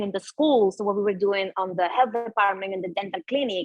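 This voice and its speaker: Music plays behind a woman of medium pitch who speaks with a Spanish accent. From Venezuela. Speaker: yoga and mindfulness teacher. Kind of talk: interview conversation.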